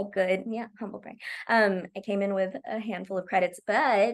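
A woman speaks with an American accent at a medium pitch. Her pace is fairly slow. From Oklahoma, US. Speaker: TV comedy writer. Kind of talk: casual interview chat. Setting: video call. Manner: laughs often.

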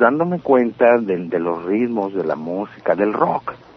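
This man's pitch swings very widely as he speaks at a fairly slow pace. Noticeable background noise runs underneath. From Mexicali, Baja California, Mexico. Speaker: punk singer and songwriter. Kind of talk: interview.

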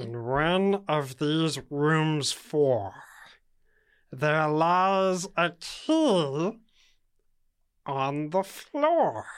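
In a put-on character voice at a middle pitch, the speaker goes very slowly with long, frequent pauses, on a very clean recording with a silent background. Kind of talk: comic overacting. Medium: actual play. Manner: sassy, indignant, comic.

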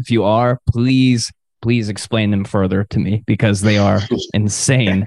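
An unremarkable speaking voice belongs to a man with an American accent and a medium pitch. His intonation is fairly even, and the background is quiet. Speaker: podcast host. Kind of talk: casual chat. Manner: casual, joking.

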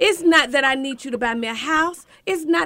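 A woman speaks at a fairly quick pace in a high, raised, projected voice with a bright, sharp tone and lively intonation. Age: 50s. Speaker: doctor giving relationship advice. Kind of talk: casual chat. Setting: radio studio.

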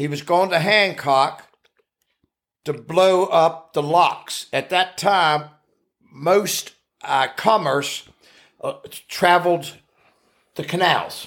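With an Appalachian accent, a high-pitched man speaks at a very slow pace with ordinary pitch variation and long, frequent pauses. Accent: Appalachian American English. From US Appalachia (West Virginia). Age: 70s. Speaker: retired farm-raised grandfather. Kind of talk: casual chat. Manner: rambling storyteller.

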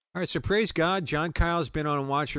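A man with an American accent, at a fairly quick pace. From New York. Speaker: radio host. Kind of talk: live call-in show with prayer. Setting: online radio stream.

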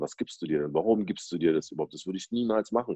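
This is a male speaker. The pitch rises and falls in an ordinary way. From Berlin, Germany. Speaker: DJ and rapper. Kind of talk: casual chat. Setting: at home, video call.

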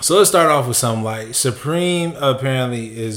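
Lively intonation runs at a moderate pace through noticeable background noise. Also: man. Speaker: sneaker podcast co-host. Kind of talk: casual chat. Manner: calm.

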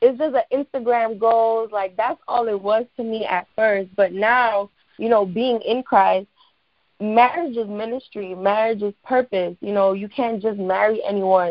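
With an American accent, a woman talks in a plain, everyday voice at a fairly slow pace, her fairly high pitch showing ordinary variation. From New York, the Bronx. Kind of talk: casual chat.

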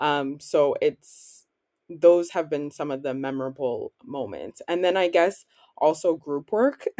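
A woman's normal speaking voice with a Canadian accent, fairly low in pitch, with ordinary pitch variation and a fairly slow pace, in a dry, close sound with no echo. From Canada, Ottawa. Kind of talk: interview.

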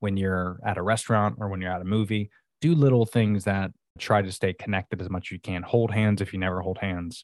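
A man with an American accent speaks in a plain, everyday voice, fairly low in pitch, at a fairly quick pace with fairly even intonation. The sound is dry and close with no echo, a very clean recording against a silent background. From Florida. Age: 30s. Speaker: entrepreneur, subscription box co-founder. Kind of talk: casual interview.

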